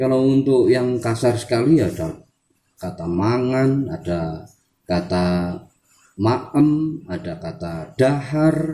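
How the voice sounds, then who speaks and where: Using very wide pitch swings, a man with a medium pitch and a dark, mellow tone speaks at a very slow pace. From Central Java, Wonosobo. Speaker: language teacher, channel owner. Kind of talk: tutorial. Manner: halting.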